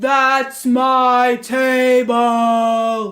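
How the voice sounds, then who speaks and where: A put-on, gruff character voice at a fairly high pitch with monotone, flat intonation. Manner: menacing.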